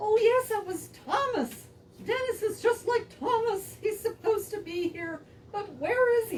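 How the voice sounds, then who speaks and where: A squeaky, female-sounding cartoonish character voice comes at an extremely high pitch. It moves at a moderate pace. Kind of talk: children's church puppet show. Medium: puppet show. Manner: skeptical, fussy.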